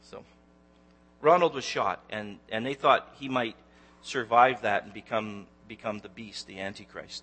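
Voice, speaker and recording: With a Canadian accent, a man speaks in a normal speaking voice at a moderate pace with lively intonation. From Canada, Ontario (Newmarket near Toronto). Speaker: lay preacher, Bible teacher. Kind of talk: sermon. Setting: church. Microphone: handheld microphone that kept cutting out.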